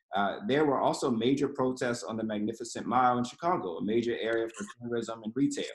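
With hardly any pauses, a man speaks very fast at a medium pitch with ordinary pitch variation, and audible room echo surrounds his voice. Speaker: nonprofit program director; panel moderator. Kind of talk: panel moderation. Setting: video call. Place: home room. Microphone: video call.

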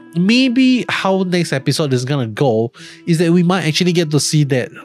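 A man at a moderate pace, in dry sound with no echo and faint music in the background. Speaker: show reviewer. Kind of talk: commentary. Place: home room. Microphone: studio mic.

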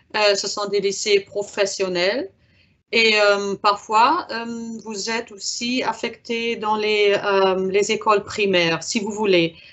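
Someone with a German accent speaks at a very slow pace, using fairly even intonation. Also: woman. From Germany. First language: German (speaking French). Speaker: exchange program officer; presenter. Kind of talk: webinar Q&A. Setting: video conference. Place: office. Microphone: video call.

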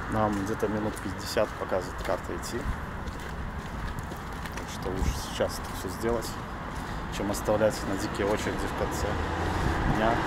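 Against loud background noise, a man speaks at a moderate pace with long, frequent pauses. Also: dry sound with no echo. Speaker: travel vlogger. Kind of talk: casual vlog chat. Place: street. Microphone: phone near.

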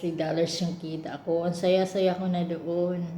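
A woman talks at a moderate pace in a fairly low voice with monotone, flat intonation. Noticeable background noise and audible room echo fill the recording. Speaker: domestic worker and vlogger. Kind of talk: casual vlog monologue. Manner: halting, many fillers.

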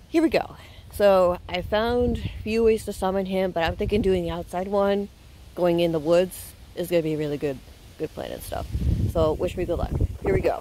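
With a dark, mellow tone, a woman speaks at a moderate pace with ordinary pitch variation, in a dry sound with no echo and light background noise. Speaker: challenge vlogger. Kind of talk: casual vlog chat.

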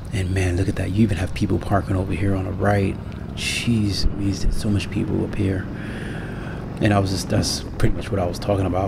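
A man speaks at a very fast pace. Noticeable background noise runs under his voice. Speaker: motorcycle vlogger. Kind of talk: casual vlog chat. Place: motorbike. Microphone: helmet.

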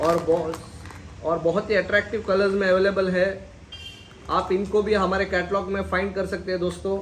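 A man speaks at a moderate pace in a high voice with a fairly bright tone and little pitch movement. Audible room echo surrounds the recording.

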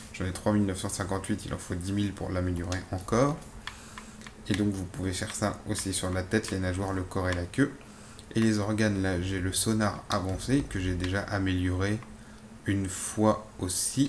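Fairly slow, fairly even speech with audible room echo. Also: man, fairly low pitch for a man. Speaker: gaming youtuber. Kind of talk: gameplay commentary. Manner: hesitant, many fillers.

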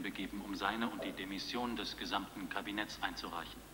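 A man talks at a fairly quick pace with a fairly low pitch. Noticeable background noise runs under his voice. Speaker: documentary presenter. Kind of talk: TV documentary commentary.

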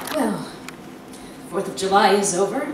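A woman talks rather slowly, with clear room echo and noticeable noise in the background. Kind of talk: dramatic reading. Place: stage. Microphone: handheld.

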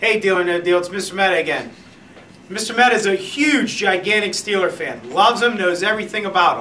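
A man with an American accent uses a raised, projected voice at a fairly quick pace. His pitch is high with ordinary variation, and there is light background noise. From Pittsburgh, western Pennsylvania; Pennsylvania. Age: 30s. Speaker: elementary school teacher. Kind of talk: casual self-made video audition with students. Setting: classroom. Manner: animated. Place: classroom. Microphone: camera far.

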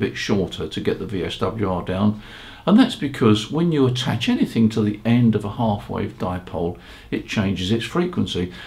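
Fairly low pitch from a man with a slightly mellow tone at a moderate pace

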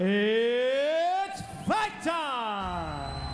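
There is noticeable background noise behind a man's voice. His pitch is extremely high and swings very widely. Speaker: MMA cage announcer. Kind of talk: live fight announcer introducing fighters and reading scorecards. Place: stadium. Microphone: handheld.

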